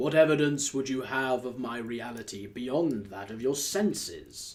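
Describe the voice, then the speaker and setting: The pace here is moderate. The voice is a put-on character voice. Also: man, medium pitch for a man. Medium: read story. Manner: solemn, mournful.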